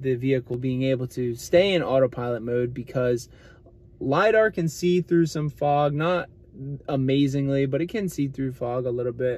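At a moderate pace, a man speaks in a dark, mellow tone with ordinary pitch variation, the sound dry with no echo. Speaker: channel co-host. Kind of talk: casual vlog chat. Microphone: phone near.

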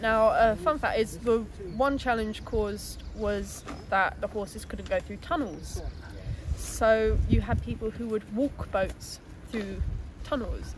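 A woman speaks at a fairly slow pace. Noticeable background noise runs behind her. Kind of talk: interview answer. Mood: friendly, informative. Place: waterside.

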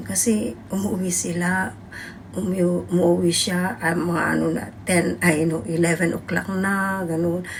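A woman's voice, with ordinary pitch variation, sounds with audible room echo. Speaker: overseas domestic worker and vlogger. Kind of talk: casual vlog monologue.

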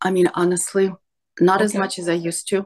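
A woman speaks against a quiet background. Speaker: coaching client. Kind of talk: personal therapy session. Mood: reflective, emotionally vulnerable. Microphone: video call.

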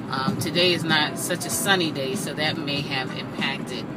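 Through loud background noise, a woman with an American accent talks at a fairly slow pace. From Southampton, New York, USA. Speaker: vlogger, local guide to the Hamptons. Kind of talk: casual talk to camera. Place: car. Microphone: phone near.

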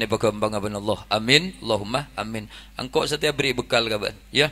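This man has a bright, sharp tone and ordinary pitch variation. He speaks with a Madura accent. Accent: Madurese-accented Indonesian. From Indonesia. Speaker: Islamic preacher. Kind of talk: humorous sermon. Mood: jokey, lively. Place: tent. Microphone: handheld.

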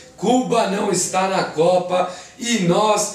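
A man speaks in a high pitch with a Brazilian accent. Music plays behind him, and the room echo is audible. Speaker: show host. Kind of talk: comedic sports talk show. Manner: animated, joking. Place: studio.

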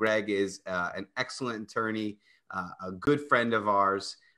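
Against a quiet background, a man with a fairly low pitch and a bright, sharp tone speaks with fairly even intonation. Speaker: personal injury attorney. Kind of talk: live radio talk show. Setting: video call. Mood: jovial, joking. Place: home room. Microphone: video call.

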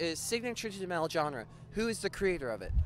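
Animated and high-pitched, a man talks at a fairly quick pace with very wide pitch swings, the sound dry with no echo over light background noise. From Ontario, Canada. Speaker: music podcast host and interviewer; music podcast host, interviewer. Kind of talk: casual interview chat. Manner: animated, joking. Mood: joking, playful. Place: street. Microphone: handheld.

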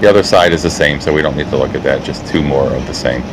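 A man talks at a fairly quick pace. Noticeable background noise is present. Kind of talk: tour narration voice-over.

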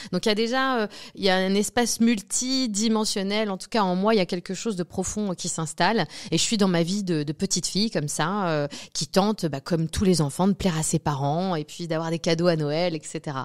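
The background stays quiet. A woman talks at a moderate pace, her pitch variation ordinary. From Normandy, France. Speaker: medium. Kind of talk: interview. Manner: hesitant, many fillers. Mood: reflective, personal. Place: studio. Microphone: studio mic.

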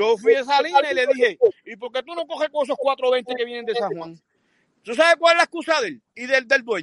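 Against a quiet background in dry sound with no echo, a man speaks fairly quickly in an extremely high pitch, with lively intonation and big swings in loudness. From Puerto Rico. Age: 60s. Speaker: fisherman and sailor. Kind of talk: casual chat. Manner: animated. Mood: animated storytelling. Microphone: video call.

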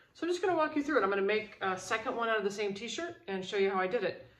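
Here a woman speaks with ordinary pitch variation. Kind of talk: tutorial. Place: home room. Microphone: phone near.

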